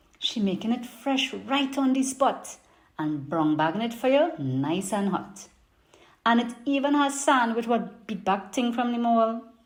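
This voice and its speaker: In a Trinidadian accent, a woman with a fairly high voice speaks at a fairly slow pace with lively intonation. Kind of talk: poetry reading.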